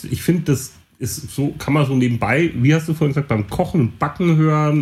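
Somewhat breathy, a man talks with lively intonation at a fairly high pitch. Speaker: podcast co-host and DJ. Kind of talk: casual chat.

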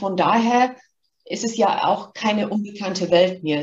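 A somewhat breathy woman's voice at a moderate pace with ordinary pitch variation. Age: 50s. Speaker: marketing executive. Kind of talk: interview.

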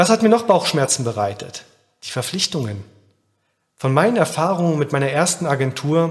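A somewhat breathy man at a moderate pace. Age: 30s. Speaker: podcast host, agency founder. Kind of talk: scripted monologue.

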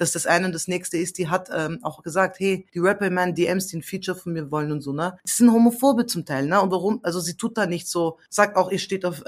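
A woman talks at a fairly quick pace with hardly any pauses. Her voice is fairly low, with ordinary pitch variation. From Austria. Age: 30s. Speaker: singer-songwriter. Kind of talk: casual interview chat. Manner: animated.

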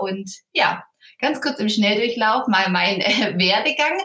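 She has an unremarkable speaking voice. Her pitch sits fairly high. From southern Germany, Ulm (Swabia). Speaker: wedding planner. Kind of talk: interview.

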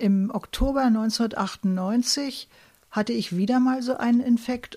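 A woman speaks in a somewhat breathy voice with a fairly high pitch. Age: 70s. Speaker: chemist and patient volunteer. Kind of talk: interview testimony.

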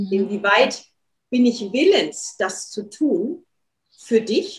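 This woman has a fairly high pitch and sounds somewhat breathy. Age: 40s. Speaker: dance therapist and workshop leader. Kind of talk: interview.

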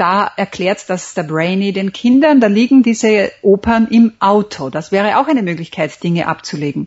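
A woman talks at a moderate pace and medium pitch, with lively intonation. Her voice is somewhat breathy, with hardly any pauses. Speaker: memory champion and author. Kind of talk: interview. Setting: Skype call. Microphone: internet call audio, sounds somewhat different.

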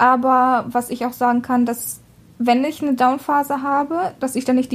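A woman's high voice with fairly even intonation and a slight Russian accent. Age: 20s. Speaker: podcast co-host. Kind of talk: casual chat.

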